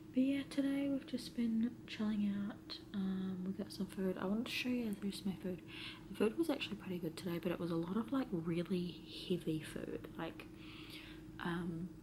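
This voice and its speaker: Lively intonation marks a woman's medium-pitched voice at a moderate pace. Noticeable background noise runs underneath. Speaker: vlogger. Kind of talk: casual vlog talk. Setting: quarantine hotel room. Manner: soft-spoken.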